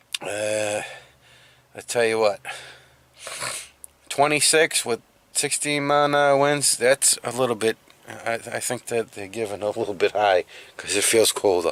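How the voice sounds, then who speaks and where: A man with an American accent speaks fairly slowly at medium pitch with ordinary variation and long, frequent pauses, the sound dry and close with no echo but with noticeable background noise. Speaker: van-life vlogger. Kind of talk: casual vlog talk. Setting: outdoors in the cold.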